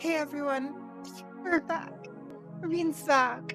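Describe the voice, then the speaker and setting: Very slow speech from a woman at a high pitch, with music in the background. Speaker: let's play streamer. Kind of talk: casual stream talk.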